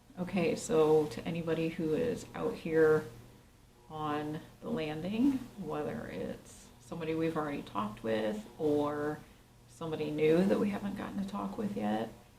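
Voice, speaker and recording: Very wide pitch swings from a woman with a very deep, low pitch, at a moderate pace, with audible room echo and noticeable background noise. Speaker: paranormal investigator. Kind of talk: on-location investigation narration. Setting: hotel landing at night. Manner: quiet, hushed.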